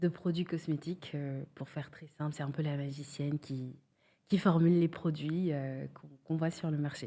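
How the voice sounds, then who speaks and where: A woman speaks at a very deep, low pitch in a dark, mellow tone. Her delivery is monotone and flat at a moderate pace. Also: very clean recording, silent background. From Senegal. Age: 30s. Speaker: cosmetics brand founder. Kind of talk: podcast interview. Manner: hesitant, many fillers.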